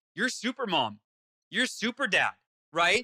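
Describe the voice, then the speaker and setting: A man speaks in a raised, projected voice with an animated, bright, sharp tone and ordinary pitch variation. The sound is dry and close, with no echo. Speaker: author and motivational speaker. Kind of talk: interview. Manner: fast.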